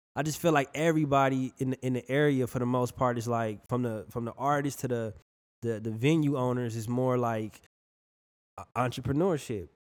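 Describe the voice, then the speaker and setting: A man talks in an unremarkable speaking voice with an American accent. His medium pitch shows ordinary variation at a fairly quick pace. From Milwaukee, Wisconsin. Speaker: rapper. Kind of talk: interview.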